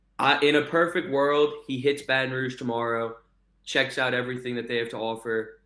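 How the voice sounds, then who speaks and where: A man with an ordinary speaking voice talks rather briskly, mid-range in pitch, his intonation mostly level. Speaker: sports journalist. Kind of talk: casual interview.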